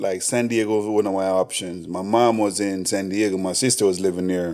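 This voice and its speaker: A man speaks with a Jamaican accent at a fairly low pitch. His intonation is monotone and flat. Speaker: chef and restaurant owner. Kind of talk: casual interview chat.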